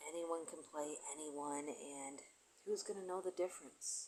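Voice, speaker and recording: Soft-spoken, a woman talks at a moderate pace. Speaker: conspiracy video blogger. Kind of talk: monologue vlog. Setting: at home near neighbors. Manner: soft-spoken, speaking low; halting.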